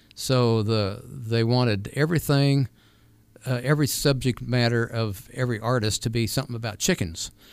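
On a very clean recording with a silent background, a voice with an American accent moves at a moderate pace with ordinary pitch variation. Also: man, medium pitch for a man. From California. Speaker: artist and retired music teacher. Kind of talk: radio interview. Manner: halting.

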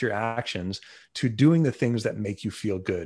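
A man with a New York accent speaks at a medium pitch and a moderate pace. The background is quiet. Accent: New York American. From Long Island, New York. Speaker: neuroplasticity coach. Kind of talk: interview.

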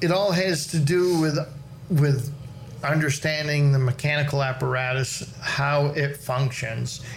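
In a room with audible echo, a man speaks somewhat breathily at a fairly slow pace with fairly even intonation. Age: 60s. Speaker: farrier. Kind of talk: casual chat.

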